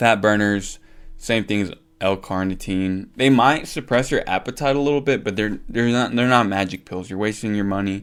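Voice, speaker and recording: A man with an unremarkable speaking voice talks at a moderate pace and a fairly low pitch, with ordinary pitch variation. The recording is very clean, its background silent. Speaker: fitness content creator. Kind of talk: casual vlog ranking. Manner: casual with fillers.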